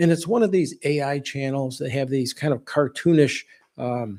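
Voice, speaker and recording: Fairly high in pitch, a man's voice carries a dark, mellow tone. He speaks at a moderate pace. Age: 60s. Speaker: home improvement and hurricane prep channel host. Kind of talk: live stream talk. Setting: live video stream. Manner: casual, conversational with many false starts.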